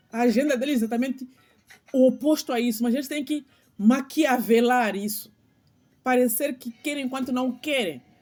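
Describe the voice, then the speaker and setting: A woman with a high pitch speaks at a moderate pace, leaving long, frequent pauses. Music plays in the background. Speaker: channel host, spiritual commentator. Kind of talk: monologue vlog. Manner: halting, repeats words; impassioned.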